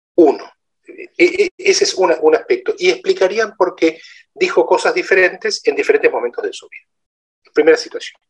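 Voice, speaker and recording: The speech moves at a moderate pace, with big swings in loudness. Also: man. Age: 50s. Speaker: lecturer. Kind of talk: lecture. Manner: halting.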